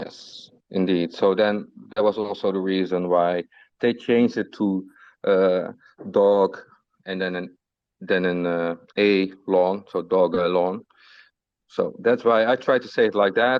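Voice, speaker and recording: The man has a very deep, low voice and a non-native accent. He speaks at a fairly slow pace with fairly even intonation and long, frequent pauses. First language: not English. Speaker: community moderator of crypto group. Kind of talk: casual group voice chat.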